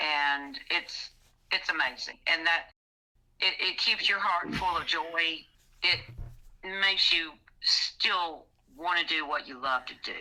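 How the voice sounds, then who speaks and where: In an American accent, a woman speaks at a very slow pace with fairly low pitch, fairly even intonation, and long, frequent pauses. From Mississippi, US South. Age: old. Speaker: blues musician. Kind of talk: casual interview chat.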